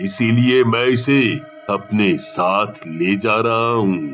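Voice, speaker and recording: A man's cartoonish character voice at a very slow pace, with clear music in the background. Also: medium pitch for a man. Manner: calm, weighty.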